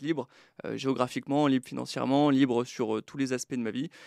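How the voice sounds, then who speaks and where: Very clean recording with a silent background and a dry, close sound with no echo. A man at medium pitch speaks at a fairly quick pace in a monotone, flat intonation. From France, Brittany and Troyes. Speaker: book publisher. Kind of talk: podcast interview. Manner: halting.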